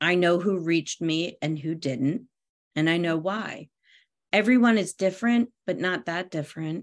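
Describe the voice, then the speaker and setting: A woman with an American accent has a normal speaking voice with a fairly low pitch. She speaks at a moderate pace with ordinary pitch variation against a quiet background. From US Northeast, near Philadelphia. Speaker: parent coach and parenting columnist. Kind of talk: casual interview. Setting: video call from her bedroom.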